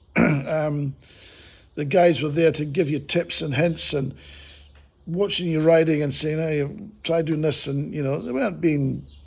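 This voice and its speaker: A man's somewhat breathy, fairly high voice in a New Zealand accent, fairly slow in pace, with fairly even intonation. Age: 60s. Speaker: motorcycle vlogger. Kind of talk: casual video review. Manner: casual, rambling with fillers.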